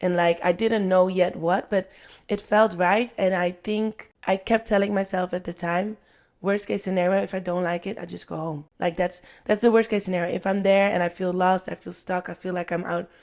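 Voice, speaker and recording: Speaking with a Dutch accent, a woman keeps a monotone, flat intonation at a medium pitch and a moderate pace. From Netherlands. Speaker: podcast guest, former cruise ship performer. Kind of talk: casual interview.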